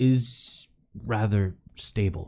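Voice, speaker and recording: A man's put-on character voice in a fairly low pitch. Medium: actual play. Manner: curt, fussy.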